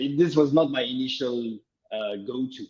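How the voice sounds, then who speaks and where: Here is a man speaking. He has a French accent. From France. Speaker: open source startup founder. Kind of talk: interview.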